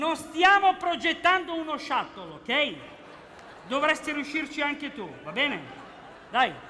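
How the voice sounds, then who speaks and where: Over light background noise, a man uses a raised, projected voice at a fairly slow pace with ordinary pitch variation. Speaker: comedy actor playing a security guard. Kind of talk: comedy sketch dialogue. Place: stage. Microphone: headset.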